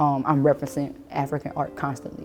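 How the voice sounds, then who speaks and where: The speaker has a New Orleans accent and a dark, mellow tone. The pace is fairly quick. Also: woman. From New Orleans, Louisiana (Lower Ninth Ward). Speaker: artist. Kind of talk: casual artist talk about her work. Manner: relaxed, conversational with many fillers.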